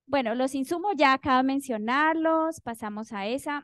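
A woman's high-pitched voice at a moderate pace, with ordinary pitch variation and a dry, close sound with no echo. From Colombia, Cauca. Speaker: university professor. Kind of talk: academic presentation.

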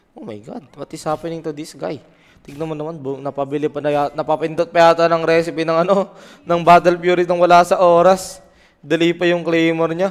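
Talking at a fairly quick pace, a man with a high pitch keeps fairly even intonation but shows big swings in loudness. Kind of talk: esports commentary. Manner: relaxed analyst, conversational, with short agreeing interjections.

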